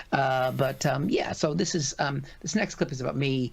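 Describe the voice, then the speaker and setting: A man talks with an American accent. He speaks at a moderate pace. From United States. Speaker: comedian. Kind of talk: casual chat. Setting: live stream.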